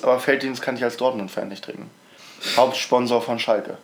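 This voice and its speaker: Noticeable background noise sits behind the speech. A man talks at a medium pitch. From Mecklenburg-Vorpommern, eastern Germany. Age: young. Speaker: podcast co-host, school student. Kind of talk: casual chat.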